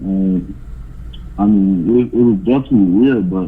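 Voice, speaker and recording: A man with a Southern US accent speaks at a fairly low pitch, with ordinary pitch variation. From US South, small-town Florida. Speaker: college basketball player. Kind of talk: casual interview.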